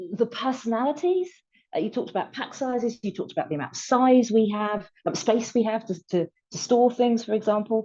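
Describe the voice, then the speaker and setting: In a British accent, a woman with a fairly high pitch and a dark, mellow tone speaks at a moderate pace with lively intonation. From UK. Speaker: retail technology publisher. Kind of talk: panel discussion. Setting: video webinar.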